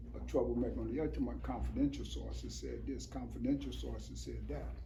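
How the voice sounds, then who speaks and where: A man with a very deep, low pitch talks very fast in a monotone, flat way, with noticeable background noise and audible room echo. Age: 70s. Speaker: former prisoner and activist. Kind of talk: panel discussion.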